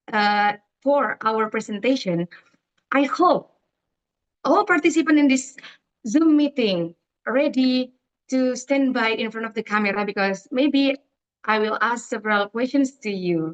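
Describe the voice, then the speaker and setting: Pausing long and often, a woman speaks at a fairly slow pace and a high pitch with an Indonesian accent. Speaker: event director. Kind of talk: presentation. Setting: video call. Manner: halting.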